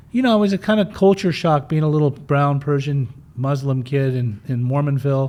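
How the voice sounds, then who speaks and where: Speaking with a Western US accent, a man with a dark, mellow tone and a fairly high pitch for a man talks at a moderate pace with ordinary pitch variation. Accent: American (Western US). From Utah, US (from age 5), born in Germany. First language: German. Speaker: person in addiction recovery, recovery mentor. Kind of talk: interview, personal life story. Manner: casual, uses many fillers.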